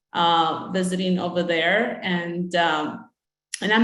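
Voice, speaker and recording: A woman's voice carries audible room echo. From Mexico, moved to US at eight. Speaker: utility supplier diversity representative. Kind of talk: conference presentation. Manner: hesitant, many fillers.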